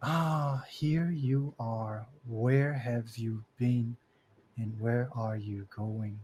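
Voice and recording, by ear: A man does a put-on character voice at a medium pitch and a very slow pace, with ordinary pitch variation.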